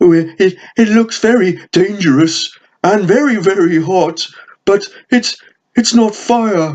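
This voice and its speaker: The speaker uses a put-on character voice at a middle pitch. The pace is fairly slow, with long, frequent pauses. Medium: read story. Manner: stammering, hesitant.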